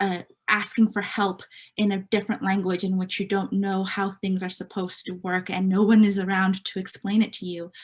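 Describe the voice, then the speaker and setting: Over a very clean recording with a silent background, a woman speaks in a somewhat breathy voice at medium pitch. Her delivery is fairly quick, with monotone, flat intonation. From California Central Coast, Mexican immigrant family. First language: Spanish. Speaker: nonprofit staff member, meeting moderator. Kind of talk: virtual meeting presentation. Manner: hesitant, many fillers.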